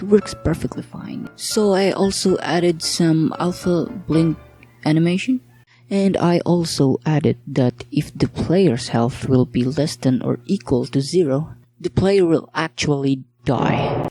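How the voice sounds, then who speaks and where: Over music in the background, a woman speaks quietly at a very slow pace, her fairly low pitch carried by lively intonation. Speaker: hobbyist game developer. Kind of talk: casual devlog narration. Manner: quiet, slurred.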